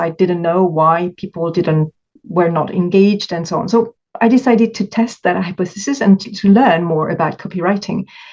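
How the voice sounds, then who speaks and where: With music in the background, a woman in a French accent speaks at a moderate pace with ordinary pitch variation. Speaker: coach for stress eaters. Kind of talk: interview conversation. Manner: halting.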